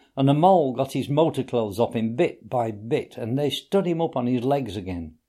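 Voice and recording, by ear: Someone reads aloud. The voice is natural.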